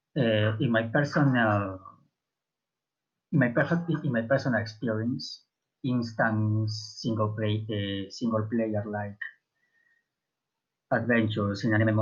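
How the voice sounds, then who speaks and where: Over a quiet background, a somewhat breathy voice with a non-native accent moves at a fairly slow pace and fairly even intonation. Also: man, long, frequent pauses. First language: not English. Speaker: MMO roundtable panelist. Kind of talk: casual panel discussion. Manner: halting, many hesitations.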